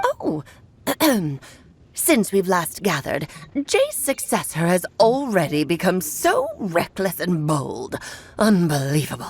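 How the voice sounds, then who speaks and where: A woman uses a put-on character voice at a medium pitch. She speaks at a fairly slow pace with long, frequent pauses. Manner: scornful, haughty.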